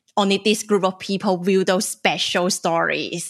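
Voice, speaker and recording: At a fairly slow pace, a woman with a Chinese accent speaks at a medium pitch. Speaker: podcast host and journalist. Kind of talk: casual chat.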